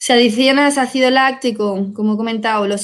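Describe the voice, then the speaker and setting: An ordinary speaking voice at a fairly slow pace. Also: woman. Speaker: wine technical support specialist. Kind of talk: webinar Q&A. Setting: online webinar.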